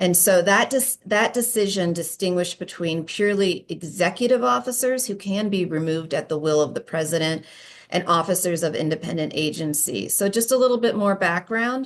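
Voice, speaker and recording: With an unremarkable speaking voice, a woman at medium pitch talks at a fairly quick pace with lively intonation and hardly any pauses against a quiet background. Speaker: employment lawyer presenter. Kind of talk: conference presentation.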